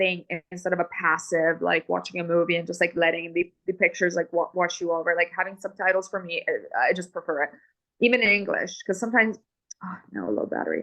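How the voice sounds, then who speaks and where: A woman talks at a very fast pace in an Italian accent. Her voice is fairly low, bright and sharp, with fairly even intonation. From Italy. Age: 30s. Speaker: film director. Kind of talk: interview conversation. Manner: halting, many fillers and restarts.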